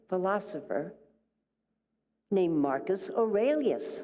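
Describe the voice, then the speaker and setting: A woman speaks in a dark, mellow tone with very wide pitch swings. Room echo is audible. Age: 80s+. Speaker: minister. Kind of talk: sermon. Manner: animated.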